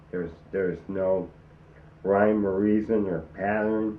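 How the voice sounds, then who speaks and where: Audible room echo surrounds a man speaking at a fairly low pitch. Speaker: person living with ALS. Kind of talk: documentary interview. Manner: labored, slurred speech; halting, many fillers.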